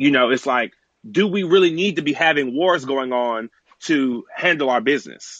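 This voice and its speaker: An ordinary speaking voice from a man, fairly high in pitch, with ordinary pitch variation. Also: moderate pace. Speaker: caller, military veteran. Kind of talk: casual chat. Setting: online live audio room.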